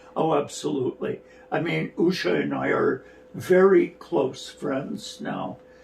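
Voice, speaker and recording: In a Canadian accent, a man speaks at a fairly slow pace. Noticeable background noise runs behind him. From Canada, rural Alberta. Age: 60s. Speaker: dance artistic director and choreographer. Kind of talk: interview.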